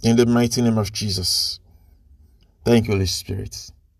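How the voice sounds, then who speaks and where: A man speaks in a monotone, flat way. His voice is somewhat breathy. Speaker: preacher leading prayer. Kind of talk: fervent intercessory prayer, preacher-style, declaring blessings over listeners. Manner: repetitive, emphatic, with stumbles and restarts.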